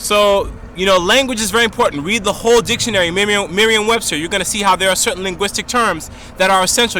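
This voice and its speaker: A man's raised, projected, high-pitched voice, animated and very fast, over noticeable background noise. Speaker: video blogger. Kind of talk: monologue to camera.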